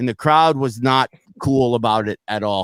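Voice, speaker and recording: Mumbling at a moderate pace, a man speaks with ordinary pitch variation in a dry, close sound with no echo. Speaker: comedian and podcast host. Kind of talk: casual chat. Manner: slurring, mumbling; halting, repetitive.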